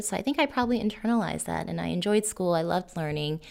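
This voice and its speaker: A woman speaks with a Californian accent. The recording is very clean, with a silent background. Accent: Californian American English. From Los Angeles, Northeast (Frogtown). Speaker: nonprofit urban design director. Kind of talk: interview.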